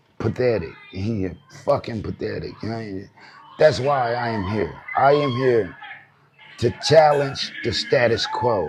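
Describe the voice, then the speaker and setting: A man's medium-pitched, animated voice at a fairly slow pace, with ordinary pitch variation, long, frequent pauses, and noticeable background noise. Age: 40s. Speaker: hip hop commentary youtuber. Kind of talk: casual commentary rant. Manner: repetitive.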